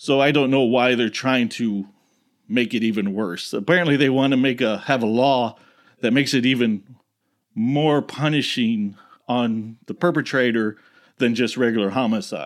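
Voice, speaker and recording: The voice belongs to a man with a medium pitch, talking at a moderate pace. It is a very clean recording over a silent background. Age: 40s. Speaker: podcast host. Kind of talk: casual solo commentary. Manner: halting, many filler words.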